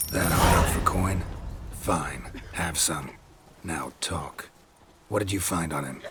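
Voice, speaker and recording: A man in a put-on character voice speaks at a fairly slow pace with a very deep, low pitch and long, frequent pauses. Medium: video game. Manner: terse, dry, clipped.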